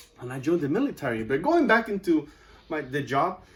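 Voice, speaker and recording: A man with a Spanish accent talks at a fairly quick pace, his pitch swinging very widely. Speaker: student. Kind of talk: class speech.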